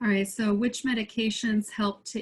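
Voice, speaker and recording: Here a woman is talking, her pitch in the middle range. A little breath comes through in her voice. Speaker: pharmacist lecturer. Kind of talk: webinar Q&A.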